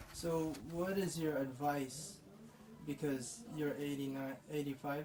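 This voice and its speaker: Very slow male speech at a fairly high pitch, with fairly even intonation and noticeable background noise. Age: 20s. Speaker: grandson interviewer. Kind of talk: interview.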